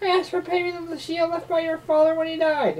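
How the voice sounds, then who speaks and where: Squeaky and put-on, the character voice runs at a fairly quick pace. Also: woman, extremely high pitch for a woman. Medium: read story. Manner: soft, sly.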